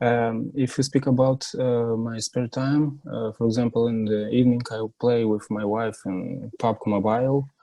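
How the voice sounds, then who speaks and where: This man has a non-native accent and a dark, mellow tone at medium pitch. His intonation is monotone and flat, and his pace is moderate. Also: hardly any pauses. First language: not English. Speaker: job candidate. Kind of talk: mock job interview. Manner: halting.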